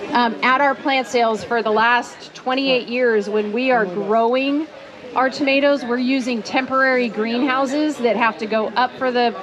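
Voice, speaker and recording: A loud, high-pitched woman's voice at a moderate pace, with fairly even intonation and noticeable background noise. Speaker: gardening speaker at a ranch for children. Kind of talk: talk to a live audience. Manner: loud, projecting.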